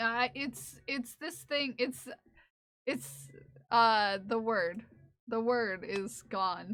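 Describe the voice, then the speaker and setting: A very slow woman's voice, fairly high in pitch, with lively intonation. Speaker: streamer. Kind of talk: casual chat. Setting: live stream. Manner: halting, many fillers.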